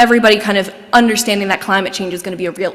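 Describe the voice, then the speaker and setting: A woman's medium-pitched voice, varying in an ordinary way, is heard against noticeable background noise. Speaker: executive director of historic house nonprofit. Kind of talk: lecture. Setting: lecture hall with in-person and online audience. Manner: fast; animated.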